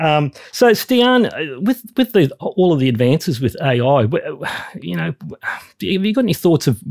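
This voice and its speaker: Here a man talks with an Australian accent in a somewhat breathy voice. The sound is dry and close, without any echo. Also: very clean recording, silent background. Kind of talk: casual interview chat.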